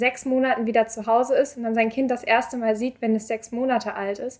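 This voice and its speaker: A woman speaks at a very fast pace with a high pitch. Her intonation stays monotone and flat. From Hamburg area (Glinde). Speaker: volunteer at a seamen's club. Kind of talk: interview. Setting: recorded on site in a club.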